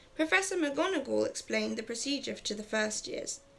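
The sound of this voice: A reading voice, unforced and easy.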